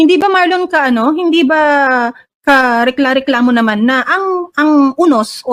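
A woman's high-pitched voice, lively in its intonation, proceeds at a moderate pace. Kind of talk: heated opinionated commentary. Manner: sarcastic, scornful, animated.

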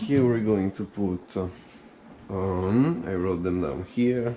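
Light background noise sits behind a man's voice. His pitch varies in an ordinary way. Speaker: home cook vlogger. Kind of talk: casual vlog chat. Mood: relaxed, chatty. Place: kitchen. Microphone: phone near.

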